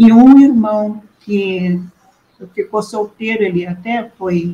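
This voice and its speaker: This woman has a dark, mellow tone, a somewhat breathy quality and fairly even intonation. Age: 70s. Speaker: nun. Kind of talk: testimony.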